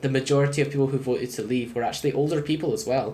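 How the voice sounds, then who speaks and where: A man's medium-pitched voice with a British accent at a very fast pace, amid noticeable background noise and audible room echo. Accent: UK. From Scotland. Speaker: gaming YouTuber. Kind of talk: let's play commentary. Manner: casual, conversational with many fillers.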